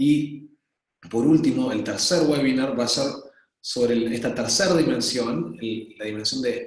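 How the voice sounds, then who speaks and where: With an Argentine accent, a man speaks at a fairly slow pace and medium pitch with ordinary pitch variation amid audible room echo. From Argentina. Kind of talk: webinar presentation. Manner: hesitant, many fillers.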